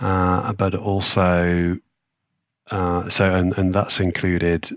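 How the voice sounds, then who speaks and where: With an English accent, a man speaks in a very deep, low voice. His delivery is very slow and monotone, with flat intonation. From England, rural Leicestershire. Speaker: sustainability risk manager. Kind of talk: podcast interview. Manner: hesitant, many fillers.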